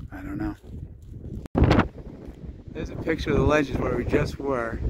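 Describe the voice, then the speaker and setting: Loud background noise surrounds a man whose voice is dry, without any echo. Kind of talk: casual vlog chat. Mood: awed, grateful. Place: open country. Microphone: phone near.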